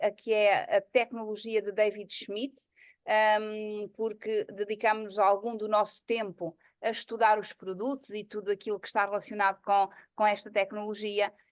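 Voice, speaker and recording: Speaking at a fairly slow pace, a woman has a fairly high pitch and an ordinary speaking voice. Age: 50s. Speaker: psychologist and network marketing presenter. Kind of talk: online presentation meeting.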